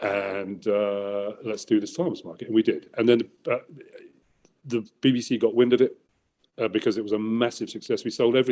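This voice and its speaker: With an English accent, a man speaks fairly quickly at a medium pitch in a dark, mellow tone. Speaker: environmental entrepreneur. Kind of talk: interview. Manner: loud; animated.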